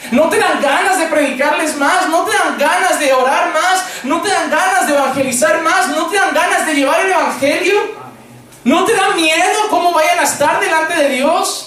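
Over noticeable background noise and audible room echo, a man uses a raised, projected voice at an extremely high pitch, with ordinary pitch variation, very even loudness and a moderate pace. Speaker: pastor. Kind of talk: sermon.

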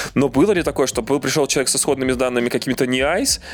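Medium pitch from a man, with music in the background. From Belarus. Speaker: podcast co-host. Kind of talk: casual podcast chat.

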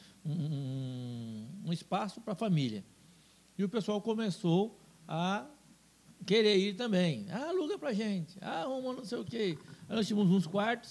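A man speaks in a high voice with very wide pitch swings. His pace is fairly slow, with long, frequent pauses. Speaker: businessman and TV station owner. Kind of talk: casual interview.

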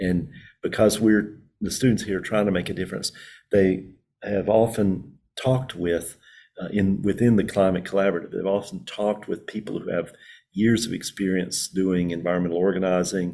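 A man with a Southern US accent speaks at a moderate pace in a fairly low pitch, his intonation fairly even and his tone dark and mellow. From rural North Carolina Piedmont. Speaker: professor. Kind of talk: interview. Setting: video call from a computer lab.

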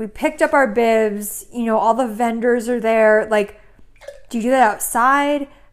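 A woman with an American accent speaks in an ordinary speaking voice, her pitch fairly high. Her intonation stays fairly even at a moderate pace. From Connecticut, US. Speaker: podcast co-host. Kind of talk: casual chat.

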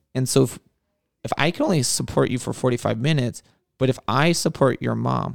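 A man with an American accent at a very fast pace, in a dry, close sound with no echo. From Southern California (Whittier). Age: 30s. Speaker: podcast host, youth worker. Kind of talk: casual interview.

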